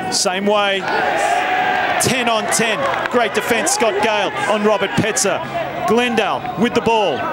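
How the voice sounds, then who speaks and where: Crowd noise fills the background. The speaker talks at a very slow pace with lively intonation and very even loudness. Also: man, high pitch for a man. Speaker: rugby match commentator. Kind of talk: live commentary.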